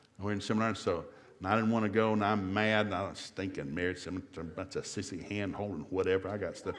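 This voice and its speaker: A man with an American accent talks at a very fast pace with a fairly low pitch. The room echo is audible. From US South. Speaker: marriage seminar speaker. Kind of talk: seminar talk. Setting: church seminar with live audience. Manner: animated.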